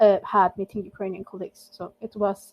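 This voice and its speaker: This woman has a strong non-native accent. She talks at a moderate pace and medium pitch. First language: not English. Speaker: volunteer language mentor. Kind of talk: casual group meeting chat. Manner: halting, many fillers.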